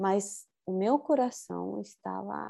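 There is a quiet background behind a woman speaking with a Spanish accent. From Chile. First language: Spanish (speaking Portuguese). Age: 40s. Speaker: spiritual teacher. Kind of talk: interview.

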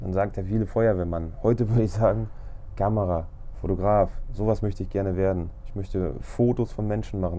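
At a moderate pace, a man talks with lively intonation and a dark, mellow tone. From Lower Saxony, Germany (Braunschweig). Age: 30s. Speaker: photographer podcaster. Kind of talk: casual monologue.

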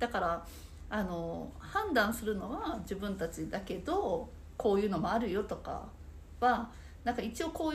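A woman uses lively intonation in a space with audible room echo. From Saitama. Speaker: nerikiri sweets instructor. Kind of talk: casual interview chat.

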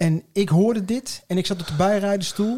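Lively intonation marks the man's speech, which has a dark, mellow tone. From Nijmegen, Netherlands. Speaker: podcast co-host. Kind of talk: casual chat.

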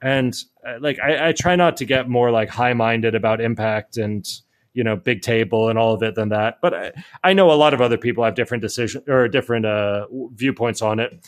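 A man with a plain, everyday voice speaks at a fairly quick pace. His pitch is medium, with ordinary pitch variation. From US, Miami. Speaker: author and startup founder. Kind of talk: podcast interview.

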